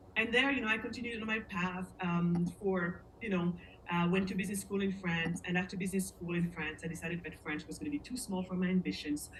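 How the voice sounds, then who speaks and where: A woman with a medium-pitched voice and ordinary pitch variation talks amid noticeable background noise. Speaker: interviewee sharing life story. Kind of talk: casual interview, personal story. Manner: halting, searches for words.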